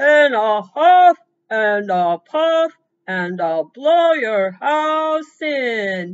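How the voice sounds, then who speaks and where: In a put-on character voice, the speaker talks very slowly at a fairly high pitch with very wide pitch swings. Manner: gruff, threatening wolf voice.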